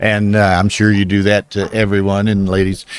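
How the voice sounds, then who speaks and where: This man's voice is fairly low in pitch. He keeps to a moderate pace. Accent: Southern US. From US South. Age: 70s. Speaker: backgammon commentator. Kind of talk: live commentary. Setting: live stream at a casino tournament.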